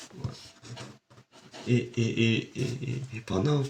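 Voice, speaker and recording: Somewhat breathy, the man speaks with a dark, mellow tone. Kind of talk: casual talk to camera, film review.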